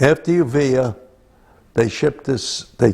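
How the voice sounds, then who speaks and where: A man is speaking here. His pace is very slow. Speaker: war veteran. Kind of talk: oral history interview.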